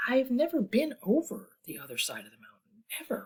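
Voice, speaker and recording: At a moderate pace, a woman uses a put-on character voice pitched high. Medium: read story. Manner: kind, earnest.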